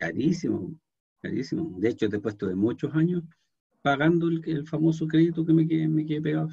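A man with a Chilean accent talks at a fairly quick pace in a dark, mellow tone and a fairly high pitch. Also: ordinary pitch variation. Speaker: programming teacher. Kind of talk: lecture; online class lecture and chat. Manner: halting. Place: home room. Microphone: webcam.

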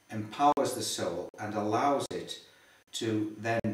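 With audible room echo, a man speaks in a fairly low voice and fairly even intonation. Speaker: interviewee. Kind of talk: interview answer. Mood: earnest, explanatory. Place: home room. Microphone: camera far.

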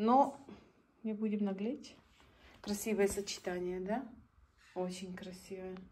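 Woman with a dark, mellow, somewhat breathy tone, a very slow pace, long and frequent pauses, and light background noise. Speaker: vlogger. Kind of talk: casual vlog narration. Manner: animated. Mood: admiring, cheerful. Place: home room. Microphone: phone near.

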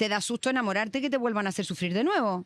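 Talking at a very fast pace, a woman speaks at a fairly high pitch with ordinary pitch variation. The sound is dry with no echo, and the background is quiet. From Chile. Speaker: podcast host. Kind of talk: casual chat. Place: cafe. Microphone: studio mic.

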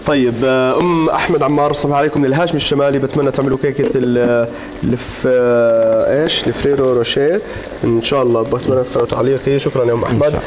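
A man at a moderate pace, with fairly even intonation and very even loudness, over noticeable background noise. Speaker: TV show host. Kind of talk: reading viewer messages on air. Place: studio. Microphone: lapel.

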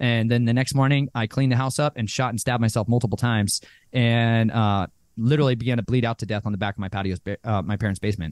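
A man with an American accent talks at a very fast pace with fairly even intonation. The sound is dry with no echo, and the background is quiet. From Arizona, US. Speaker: abuse survivor and author; podcast guest. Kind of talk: testimony. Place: home room. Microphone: studio mic.

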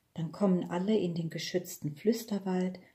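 A woman's somewhat breathy voice of medium pitch, dark and mellow in tone, with ordinary pitch variation. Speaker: audiobook reader. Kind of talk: children's audiobook reading.

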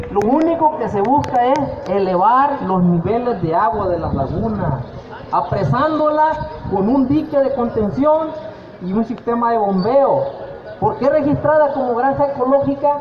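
Extremely high-pitched male speech at a fairly slow pace, with lively intonation and noticeable background noise. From Nayarit, Mexico. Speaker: shrimp cooperative fisherman presenting a project; presenter. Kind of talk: community meeting presentation. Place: street. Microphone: handheld.

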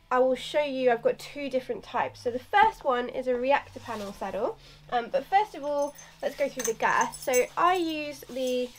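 Music plays in the background as a woman with a high pitch and lively intonation speaks at a moderate pace. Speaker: equestrian vlogger. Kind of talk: casual vlog chat. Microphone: camera far.

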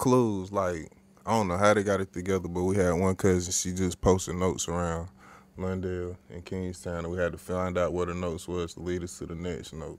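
At a fairly quick pace, a man speaks with a very deep, low pitch in a monotone with flat intonation. The sound is dry with no echo. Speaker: podcast co-host. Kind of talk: casual chat. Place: studio.

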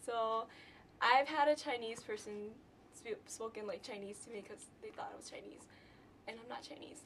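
A woman's fairly high voice with a Southeast Asian accent, a moderate pace, ordinary pitch variation, and light background noise. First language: Hmong. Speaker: college student. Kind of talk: interview testimony. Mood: cheerful, relaxed.

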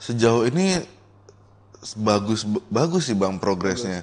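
A man talks at a very slow pace. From Jakarta; Indonesia. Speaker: waterpark owner and entrepreneur; guest. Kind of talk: casual interview. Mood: relaxed casual chat. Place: studio. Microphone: studio mic.

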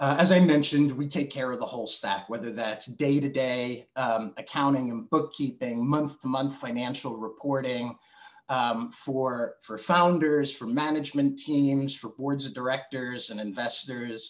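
A man speaks with fairly even intonation and hardly any pauses. The background is quiet. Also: moderate pace. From New Jersey. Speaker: webinar host, marketing executive. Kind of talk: webinar presentation. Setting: video call. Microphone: video call.

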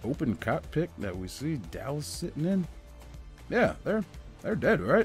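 A man with a fairly high voice speaks at a fairly slow pace with very wide pitch swings and long, frequent pauses while music plays in the background. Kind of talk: casual movie trailer review commentary. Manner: sarcastic.

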